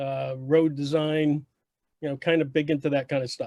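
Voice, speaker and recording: A man with a fairly high pitch and fairly even intonation has an unremarkable speaking voice. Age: 60s. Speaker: retired software engineer and military veteran. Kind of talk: casual group chat.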